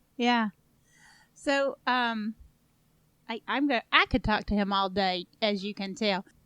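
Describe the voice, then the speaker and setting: A woman speaks at a very slow pace with a fairly high pitch and a bright, sharp tone, leaving long, frequent pauses. The recording is very clean with a silent background, and the sound is dry and close with no echo. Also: ordinary pitch variation. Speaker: podcast host. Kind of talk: interview question.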